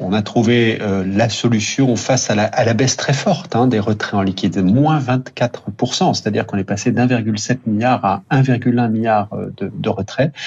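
An ordinary speaking voice from a man, medium in pitch, at a fairly slow pace with ordinary pitch variation. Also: hardly any pauses. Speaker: bank executive. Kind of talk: radio interview. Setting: remote line to radio studio. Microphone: line cut out briefly.

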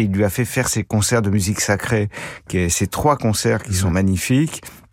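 A man's unremarkable speaking voice at a medium pitch and moderate pace, with ordinary pitch variation, in a very clean recording with a silent background. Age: 60s. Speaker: film critic panelist. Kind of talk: casual chat. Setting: studio.

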